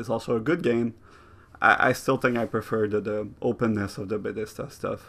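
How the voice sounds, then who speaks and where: A man speaks at a medium pitch with fairly even intonation against a quiet background. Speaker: video game critic. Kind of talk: improvised video essay. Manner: casual, improvised.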